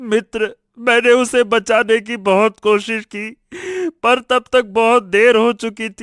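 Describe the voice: In a put-on character voice, a man talks slowly at an extremely high pitch with little pitch movement, his tone clear, smooth and fairly bright, in a dry, close sound with no echo.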